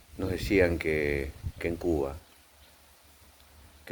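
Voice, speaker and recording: A man speaks in a very deep, low pitch. Noticeable background noise runs behind him. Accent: Argentine. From Argentina. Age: 60s. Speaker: psychiatrist. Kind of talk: video commentary. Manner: hesitant, with fillers.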